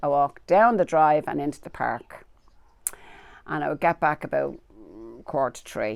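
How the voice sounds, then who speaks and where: This is a woman with a Dublin accent. Her pitch is very deep and low. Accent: Dublin Irish. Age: 70s. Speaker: local resident. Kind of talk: interview.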